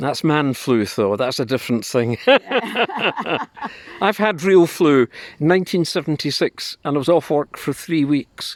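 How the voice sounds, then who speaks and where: A man's fairly high voice, a normal speaking voice, with lively intonation, a fairly slow pace and hardly any pauses, in a dry, close sound with no echo. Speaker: interviewer. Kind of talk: casual interview questions.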